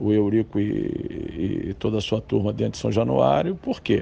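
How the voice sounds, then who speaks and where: A man with a fairly low pitch speaks at a fairly slow pace amid noticeable background noise. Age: 60s. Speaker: football club board member. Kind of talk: interview. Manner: hesitant, with filler tags.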